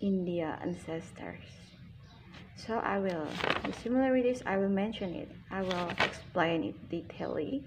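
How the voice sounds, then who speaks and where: A woman with a fairly low pitch and ordinary pitch variation talks at a moderate pace. Audible room echo and noticeable background noise fill the recording. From Indonesia. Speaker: YouTuber. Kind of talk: casual vlog talk. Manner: halting, self-correcting.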